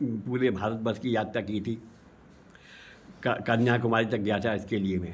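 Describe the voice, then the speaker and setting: A man with a fairly low pitch speaks in a monotone, flat way, leaving long, frequent pauses. Audible room echo surrounds his voice. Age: 70s. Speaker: activist. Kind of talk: interview. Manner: halting, with many fillers and repetitions.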